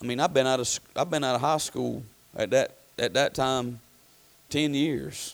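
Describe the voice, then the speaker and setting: Fairly even intonation runs through speech at a moderate pace, broken by long, frequent pauses. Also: man, medium pitch for a man. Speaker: pastor. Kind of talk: sermon. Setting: church. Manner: halting, with many fillers.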